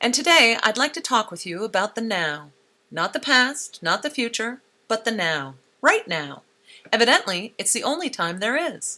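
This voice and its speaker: Her pitch fairly high and swinging very widely, a woman speaks at a moderate pace with a bright, sharp tone. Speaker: radio essayist. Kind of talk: spoken-word radio feature.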